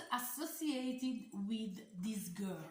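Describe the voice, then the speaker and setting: Amid audible room echo, a woman with an Italian accent speaks at a very slow pace with lively intonation. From Italy. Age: 40s. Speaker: doll collector YouTuber. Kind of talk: casual vlog talk. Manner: halting, many fillers.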